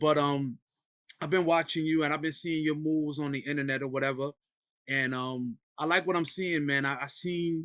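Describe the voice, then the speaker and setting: Moderate pace and fairly even intonation, in a New York accent. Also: man, fairly high pitch for a man. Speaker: podcast host. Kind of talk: casual interview.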